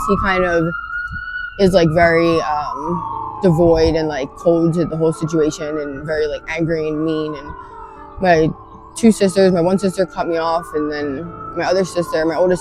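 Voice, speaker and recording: Moderate pace, fairly low pitch and an American accent from a woman, with noticeable background noise. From Philadelphia, US Northeast. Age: 30s. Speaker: person with addiction, interviewee. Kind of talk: street interview. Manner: halting, many fillers.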